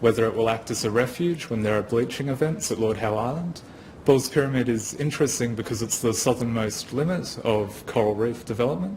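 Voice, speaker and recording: This man talks at a fairly quick pace. His pitch is medium with ordinary variation. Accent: Australian. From Australia, Wagga. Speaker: geoscience graduate. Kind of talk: presentation.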